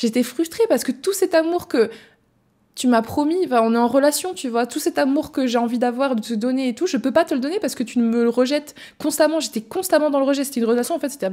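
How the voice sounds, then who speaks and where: The woman talks at a very fast pace. Her high voice has a dark, mellow tone. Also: quiet background. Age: 20s. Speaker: podcast host. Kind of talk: personal testimony; casual podcast storytelling. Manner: hesitant, many fillers. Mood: emotional, candid. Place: home room. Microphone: studio mic.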